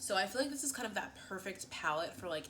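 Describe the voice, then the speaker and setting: A woman with an American accent at a very fast pace, with audible room echo and noticeable background noise. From US Northeast, Philadelphia. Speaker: beauty vlogger. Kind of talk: casual chat. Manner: animated.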